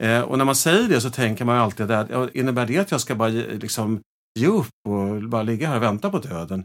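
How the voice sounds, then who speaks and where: On a very clean recording with a silent background, a man with an ordinary speaking voice talks at a medium pitch and a fairly quick pace, his intonation lively. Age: 50s. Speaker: gestalt therapist. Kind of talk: casual chat.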